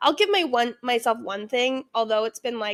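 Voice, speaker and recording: A woman with a Canadian accent speaks at a moderate pace in an animated, high-pitched voice. The recording is very clean with a silent background and a dry, close sound with no echo. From Ontario, Canada. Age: 30s. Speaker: podcast host. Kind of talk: casual solo podcast monologue.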